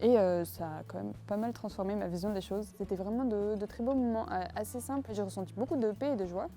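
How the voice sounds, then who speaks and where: Hardly pausing, a woman speaks fairly quickly as music plays in the background. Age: 20s. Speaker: student. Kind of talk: testimony. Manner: hesitant, many filler words.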